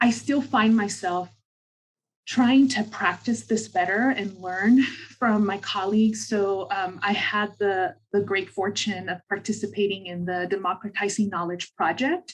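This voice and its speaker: The speech moves at a fairly slow pace with ordinary pitch variation. The voice is somewhat breathy. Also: woman, medium pitch for a woman. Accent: American. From southern California. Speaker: social work scholar. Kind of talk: panel discussion. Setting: video call.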